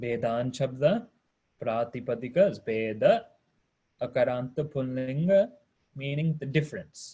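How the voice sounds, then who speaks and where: A man's fairly high voice, somewhat breathy, with a dark, mellow tone, lively intonation, big swings in loudness, a fairly slow pace and long, frequent pauses. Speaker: Sanskrit teacher. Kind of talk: online class lecture.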